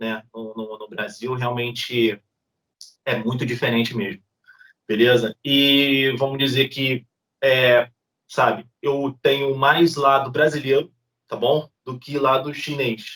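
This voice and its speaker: A man with a Rio de Janeiro accent at a very slow pace, medium pitch, fairly even intonation, big swings in loudness, and long, frequent pauses. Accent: Rio de Janeiro (carioca). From Brazil, Rio de Janeiro (Niterói). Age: 30s. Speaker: YouTuber. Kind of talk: interview.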